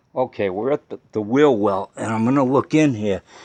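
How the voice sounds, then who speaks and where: A man's normal speaking voice at a moderate pace, lively in intonation, with a dry, close sound and no echo. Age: 60s. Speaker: DIY car repair video maker. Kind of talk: tutorial. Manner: casual, conversational.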